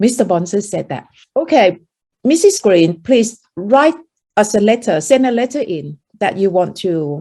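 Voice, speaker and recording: Pitch swings very widely in this dark, mellow voice, which moves at a fairly slow pace. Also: woman. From Thailand. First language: Thai. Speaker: meditation teacher. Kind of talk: interview storytelling.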